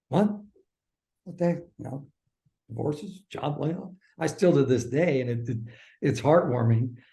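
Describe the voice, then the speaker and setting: Somewhat breathy and with a dark, mellow tone, a man speaks with long, frequent pauses. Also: ordinary pitch variation, moderate pace. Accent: Midwestern US. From US Midwest, suburban Kansas City Missouri. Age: 60s. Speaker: former sports broadcaster. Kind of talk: interview conversation. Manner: halting.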